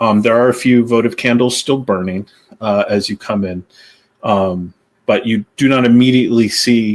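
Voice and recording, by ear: A natural voice reads the text aloud. Behind it, all is quiet.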